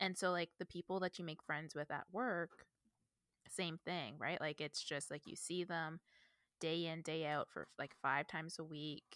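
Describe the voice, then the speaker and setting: In an unremarkable speaking voice, a woman talks at a fairly slow pace with a fairly low pitch and fairly even intonation, the sound dry and close with no echo on a very clean recording against a silent background. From Northern Ontario, Canada. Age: 30s. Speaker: book podcast co-host. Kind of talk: casual chat.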